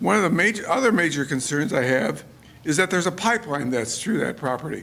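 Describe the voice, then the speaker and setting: Pitch swings very widely as a man speaks with an American accent. His pace is fairly quick. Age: 80s+. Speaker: resident speaking at public hearing. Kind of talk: public comment at town meeting. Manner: halting.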